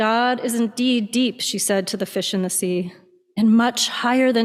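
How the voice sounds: A natural reading voice, pitch shifting in an ordinary way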